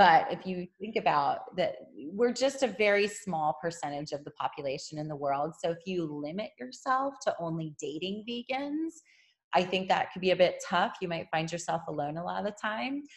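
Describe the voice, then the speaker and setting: Her pitch swinging very widely, a woman with a medium-pitched voice speaks at a moderate pace. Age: 40s. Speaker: yoga teacher and vegan influencer. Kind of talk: interview.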